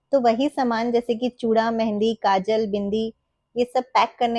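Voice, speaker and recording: A woman's dark, mellow tone sits at a fairly high pitch in a dry, close sound with no echo. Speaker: homemaker, married. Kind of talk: casual vlog narration.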